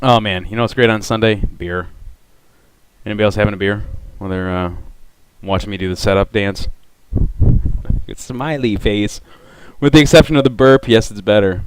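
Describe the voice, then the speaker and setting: A man mumbling at a fairly quick pace with a fairly low pitch, ordinary pitch variation, big swings in loudness and long, frequent pauses. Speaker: audio designer streaming a demo. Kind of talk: live stream tutorial. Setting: home live stream. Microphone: voice cutting out from noise gate.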